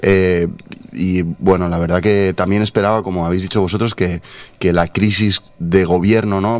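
A man talks at a moderate pace with fairly low pitch. His intonation stays fairly even. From Spain. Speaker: journalist. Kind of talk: radio interview. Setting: radio studio. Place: studio. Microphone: studio mic.

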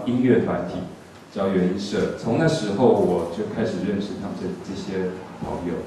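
With a Taiwanese accent and a fairly low pitch, a man speaks amid light background noise and strong room echo. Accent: Taiwanese Mandarin. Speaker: music panel host. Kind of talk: panel discussion. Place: hall.

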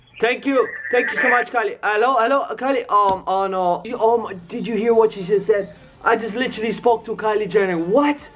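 Faint music plays in the background. A man speaks at a fairly quick pace in a high voice with ordinary pitch variation. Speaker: vlogger. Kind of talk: casual vlog chat. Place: home room. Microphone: phone near.

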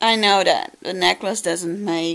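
This woman has a Dutch accent. Her intonation is monotone and flat. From Netherlands. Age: 20s. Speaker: vlogger. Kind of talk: casual vlog talk to camera. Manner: emotional, reflective. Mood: tender, remembering late aunt. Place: home room. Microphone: phone near.

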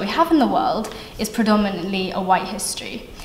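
The voice moves at a moderate pace, with audible room echo around it. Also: woman. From Australia. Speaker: university student. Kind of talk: vox pop interview. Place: hall.

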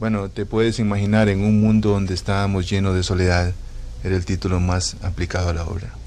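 With a plain, everyday voice, a man speaks fairly quickly in a fairly low pitch and fairly even intonation. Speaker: author of the novel, interviewed. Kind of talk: interview answer.

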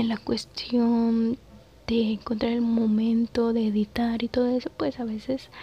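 A soft-spoken woman talks at a very slow pace in a monotone, flat way. The sound is dry, with no echo. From Mexico. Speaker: ASMR content creator and mother. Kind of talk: casual talk to camera. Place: home room. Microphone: phone near.

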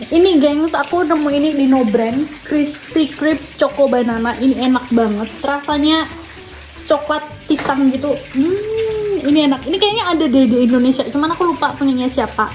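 Light background noise sits behind a high-pitched woman's voice. She speaks at a moderate pace. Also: ordinary pitch variation. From Indonesia. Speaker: vlogger. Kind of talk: casual cooking vlog talk to camera.

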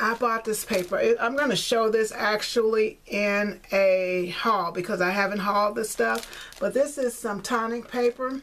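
In a fairly bright tone, a woman speaks at a medium pitch with fairly even intonation. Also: fairly slow pace.

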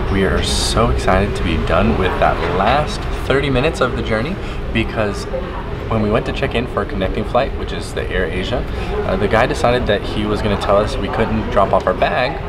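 A man at a fairly quick pace against loud background noise. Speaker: travel vlogger. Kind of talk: casual vlog chat. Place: hall. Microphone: phone near.

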